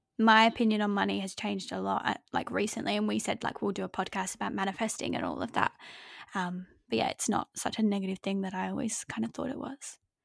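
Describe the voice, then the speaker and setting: A woman with an Australian accent talks at a very fast pace, her voice dry and close with no echo. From Adelaide, Australia. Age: 20s. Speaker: podcast co-host. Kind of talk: casual chat. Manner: giggly.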